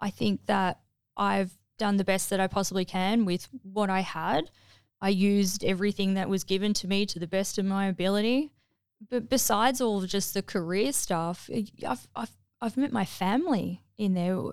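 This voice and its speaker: Recorded very cleanly against a silent background. A woman speaks with an Australian accent. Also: medium pitch for a woman, ordinary pitch variation, moderate pace. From Melbourne, Mornington Peninsula, Australia. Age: 40s. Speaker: navy veteran, former medic. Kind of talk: interview testimony. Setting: studio.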